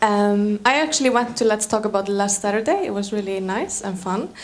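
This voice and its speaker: With noticeable background noise, a woman speaks with an Icelandic accent at a fairly high pitch and ordinary pitch variation. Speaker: panel moderator. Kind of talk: panel discussion.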